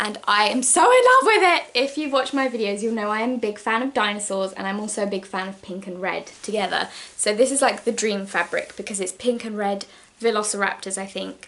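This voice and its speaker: A woman with an English accent, fairly high in pitch, at a fairly quick pace, with ordinary pitch variation amid noticeable background noise. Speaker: sewing vlogger. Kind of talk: casual haul vlog. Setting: at home, downstairs. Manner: fast.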